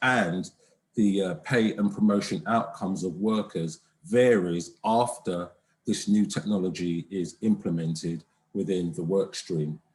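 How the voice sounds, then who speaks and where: A man's voice, fairly low in pitch. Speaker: conference presenter, economist. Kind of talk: academic presentation. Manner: hesitant, many fillers; soft-spoken. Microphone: too quiet, far from the mic.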